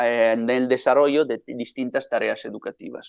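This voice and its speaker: Fairly slow speech in an Italian accent, the sound dry and close with no echo. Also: man. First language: Italian (speaking Spanish). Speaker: academic researcher. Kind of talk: lecture. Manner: hesitant, many fillers.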